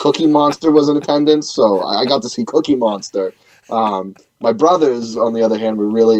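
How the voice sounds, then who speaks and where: A man with a Boston accent at a fairly quick pace. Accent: Boston-area New England. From New Hampshire, near Boston. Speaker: punk band singer and bassist. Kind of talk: radio interview. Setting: radio show.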